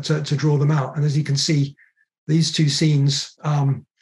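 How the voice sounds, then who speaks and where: A man's somewhat breathy voice with a dark, mellow tone, fairly high pitch and monotone, flat intonation, at a moderate pace. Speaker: author. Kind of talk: book talk presentation. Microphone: video call.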